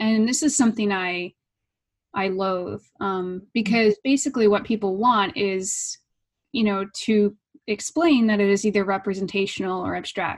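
A woman with an unremarkable speaking voice and fairly high pitch speaks at a moderate pace against a quiet background. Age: 30s. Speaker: artist and art professor. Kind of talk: interview conversation; reading aloud.

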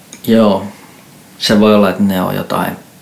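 A man's fairly low, monotone, flat voice at a fairly slow pace amid noticeable background noise. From Finland, Järvenpää. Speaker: experimental musician. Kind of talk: casual chat. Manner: halting.

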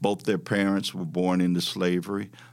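On a very clean recording with a silent background, a man with a Southern US accent speaks in a very deep, low pitch with fairly even intonation. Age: 70s. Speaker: civil rights activist and former local politician. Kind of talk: personal storytelling interview.

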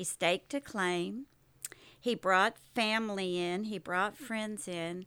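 A woman's bright, sharp voice with an American accent, medium pitch, ordinary pitch variation and a very slow pace, in a very clean recording with a silent background. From Oklahoma, US. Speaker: military wife. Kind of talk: interview storytelling.

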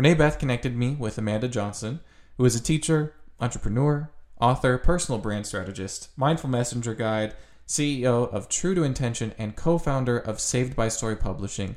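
In a very clean recording with a silent background, a man talks at a fairly quick pace in a normal speaking voice, medium in pitch with ordinary pitch variation. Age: young. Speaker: youth advisory member, podcast intro voice. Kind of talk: scripted narration.

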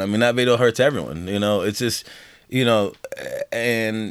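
A man with an American accent speaks at a fairly quick pace, his medium pitch moving with ordinary variation. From Colorado, Denver. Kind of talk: casual chat. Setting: home studio.

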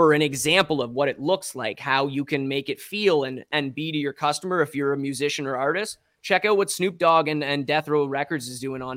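A man with an Ontario accent and a fairly high pitch talks at a fairly quick pace with hardly any pauses and ordinary pitch variation, in a dry, close sound with no echo on a very clean recording with a silent background. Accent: Canadian (Ontario). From Ontario, Canada (Strathroy). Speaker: musician and NFT artist. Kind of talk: interview.

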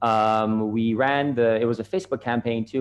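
A man with a Canadian accent, a normal speaking voice, medium pitch and fairly even intonation. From Canada. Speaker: social media marketer. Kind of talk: casual interview.

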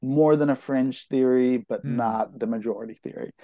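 A man with an American accent talks at a moderate pace in an ordinary speaking voice. His intonation is fairly even, and the sound is dry and close with no echo. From California, East Bay (Concord). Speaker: novelist. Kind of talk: interview.

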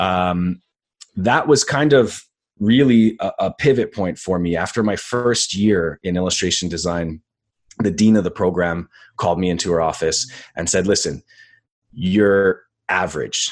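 A man with a very deep, low pitch speaks at a fairly slow pace, with ordinary pitch variation. He leaves long, frequent pauses against a quiet background. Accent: Montreal. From Canada, Montreal. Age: 30s. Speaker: graphic designer and boxing commentator. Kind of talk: casual chat. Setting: video call.

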